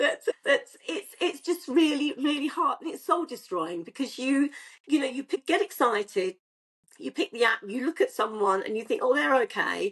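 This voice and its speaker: A woman speaks at a high pitch and a moderate pace, her pitch swinging very widely. The sound is dry and close with no echo. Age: 60s. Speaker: online dater. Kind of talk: casual chat.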